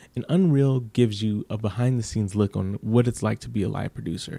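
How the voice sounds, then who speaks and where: Soft-spoken and dark, mellow in tone, a man talks at a moderate pace in a very clean recording with a silent background and a dry, close sound with no echo. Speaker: TV commentary youtuber. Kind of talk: casual commentary vlog.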